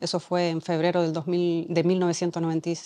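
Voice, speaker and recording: A woman speaks in a dark, mellow tone at a fairly low pitch. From Canary Islands, Mogán (Gran Canaria); Canary Islands, Spain. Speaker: doctor. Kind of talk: testimony interview. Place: hall. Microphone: lapel.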